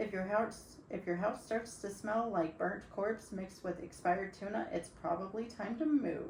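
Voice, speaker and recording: Moderate pace with audible room echo. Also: woman. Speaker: podcast co-host. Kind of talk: reading a script aloud; casual chat.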